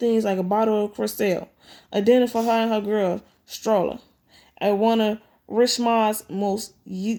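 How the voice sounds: The reading voice sounds natural, and its intonation stays fairly even.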